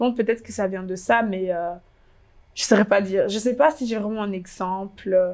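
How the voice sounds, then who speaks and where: With big swings in loudness, a woman at a medium pitch speaks at a moderate pace using ordinary pitch variation. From DR Congo. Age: 20s. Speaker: fashion blogger. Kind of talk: interview. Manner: hesitant.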